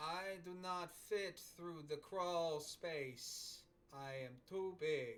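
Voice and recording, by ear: Putting on a character voice with an Italian accent, a man speaks very slowly in a high pitch. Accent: deep Italian.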